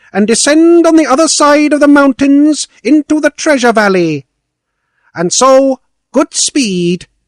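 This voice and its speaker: A man puts on a character voice with an extremely high pitch, speaking at a fairly slow pace. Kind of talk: fairy tale reading. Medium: read story. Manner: brisk, regal.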